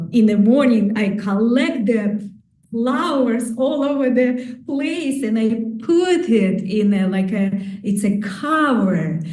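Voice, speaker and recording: A woman's fairly high voice at a very slow pace, with audible room echo and noticeable background noise. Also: very even loudness. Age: 60s. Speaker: qigong teacher. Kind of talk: conference talk. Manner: halting.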